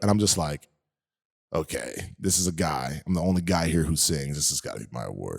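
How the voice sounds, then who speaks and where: A man speaks with a very deep, low pitch, vocal fry and ordinary pitch variation. The recording is very clean with a silent background and a dry, close sound with no echo. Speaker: podcast guest. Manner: casual storyteller.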